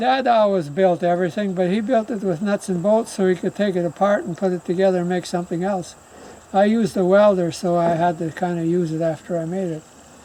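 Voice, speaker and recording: Against noticeable background noise, a man with a high pitch talks at a very fast pace with fairly even intonation. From rural North America, family homestead. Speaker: farmer. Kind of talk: casual chat.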